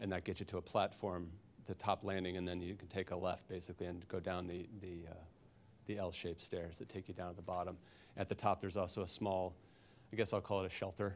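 Over light background noise, a man with a very deep, low pitch talks at a very fast pace in a monotone, flat intonation. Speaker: architect; witness. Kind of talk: expert witness testimony. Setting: public board hearing. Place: meeting room. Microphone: handheld.

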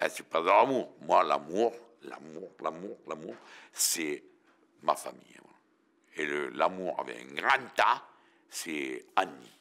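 A very slow pace with long, frequent pauses and big swings in loudness. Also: man. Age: 70s. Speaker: interviewee. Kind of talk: casual interview. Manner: animated. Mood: defiant, blunt. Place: studio.

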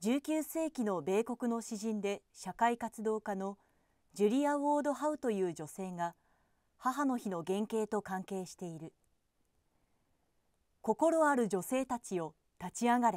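A woman at a fairly high pitch and moderate pace, with long, frequent pauses, in a dry recording with no echo and a quiet background. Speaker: television announcer. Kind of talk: newspaper column reading. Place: booth. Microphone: studio mic.

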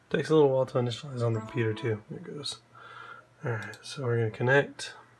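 Noticeable background noise sits behind a man talking at a very fast pace. His pitch is medium and varies in an ordinary way. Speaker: drone hobbyist. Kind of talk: tutorial. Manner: casual, hesitant with fillers.

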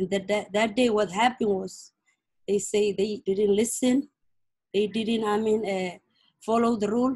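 A woman with a fairly high pitch and a somewhat breathy voice speaks at a moderate pace in a monotone, flat intonation, leaving long, frequent pauses against a quiet background. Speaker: mother of prisoner. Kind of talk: testimony. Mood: worried, grieving, earnest. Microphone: video call.

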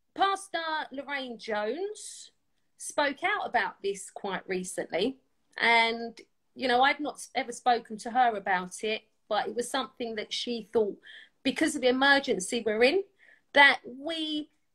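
Against a quiet background, a woman with a high pitch and a bright, sharp tone makes very wide pitch swings at a fairly slow pace. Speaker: podcast guest or host. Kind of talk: casual talk show chat. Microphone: video call.

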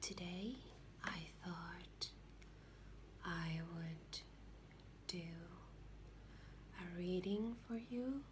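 Noticeable background noise fills the recording. Against it, a woman talks at a very slow pace. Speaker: ASMR creator. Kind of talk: soft-spoken ASMR commentary to camera. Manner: soft-spoken, gentle.

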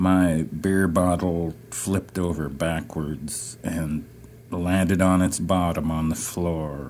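A raspy, gravelly voice moves at a very slow pace. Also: man. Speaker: poet. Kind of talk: poetry reading.

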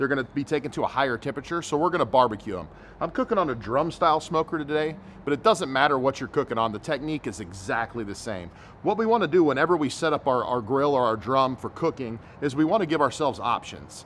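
Over light background noise, a man races along at a very fast pace with lively intonation. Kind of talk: tutorial. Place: garden.

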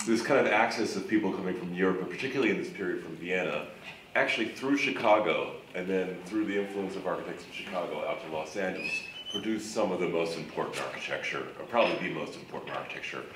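Amid noticeable background noise, a man talks at a very fast pace. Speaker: panelist. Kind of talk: panel discussion answer. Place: stage.

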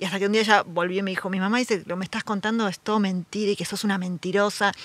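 With a Rioplatense accent, a woman of medium pitch speaks very fast in a bright, sharp tone. The sound is dry and close, with no echo. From Buenos Aires southern suburbs. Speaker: writer and editor. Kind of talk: casual interview chat.

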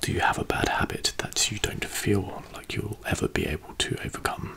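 The voice is a whisper at a moderate pace. It belongs to a man. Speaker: video host. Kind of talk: soft-spoken question reading, ASMR-like. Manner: soft, hushed close-mic ASMR voice. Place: home room. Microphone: studio mic.

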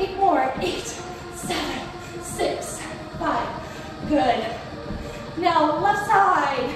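A woman's extremely high voice at a very slow pace, with clear background music and strong room echo. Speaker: fitness instructor. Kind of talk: workout instruction cues. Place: home room. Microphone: camera far.

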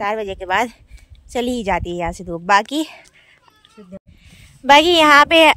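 At a fairly slow pace, a woman speaks with a fairly high pitch and a fairly bright tone.

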